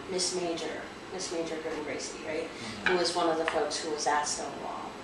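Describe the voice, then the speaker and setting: A woman with an American accent at a moderate pace, amid noticeable background noise and audible room echo. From Rosebud Reservation, South Dakota, USA. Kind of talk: interview answer. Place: meeting room.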